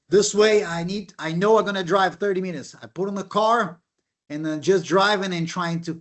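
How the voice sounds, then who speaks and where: Speaking at a moderate pace with a non-native accent, a man with a high pitch shows ordinary pitch variation. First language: not English. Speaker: professor. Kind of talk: panel discussion.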